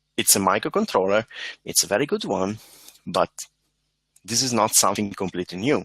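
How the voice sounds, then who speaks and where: A man with an Italian accent speaks at a fairly low pitch with ordinary pitch variation, in a dry, close sound with no echo on a very clean recording with a silent background. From Italy. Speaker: embedded software engineer, conference speaker. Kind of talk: conference talk. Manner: hesitant, with fillers.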